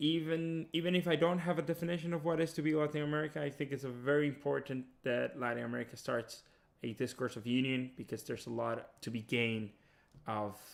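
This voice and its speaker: Talking at a very fast pace, a man with a Spanish accent uses a fairly high pitch and ordinary pitch variation. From Dominican Republic. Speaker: PhD student. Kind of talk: interview testimony.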